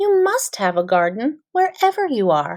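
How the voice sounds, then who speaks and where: A woman's put-on character voice, high in pitch with very wide pitch swings. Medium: read story. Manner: warm, plain and direct.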